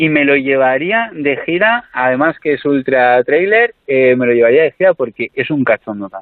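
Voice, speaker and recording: Speaking at a fairly slow pace, a man with a plain, everyday voice uses lively intonation at a fairly high pitch. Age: 30s. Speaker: comedian. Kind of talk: interview.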